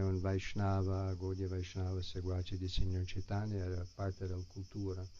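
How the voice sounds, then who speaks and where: Speaking at a moderate pace, a man uses a very deep, low pitch and a dark, mellow tone. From US, San Francisco. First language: English (speaking Italian). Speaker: Hare Krishna devotee and teacher. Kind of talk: spiritual talk to an audience. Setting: live gathering with audience, streamed online.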